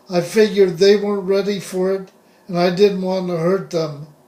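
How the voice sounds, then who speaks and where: With an American accent, a man speaks at a high pitch in a monotone, flat intonation. Background noise is noticeable. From US West (Southern California). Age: 60s. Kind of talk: personal testimony monologue.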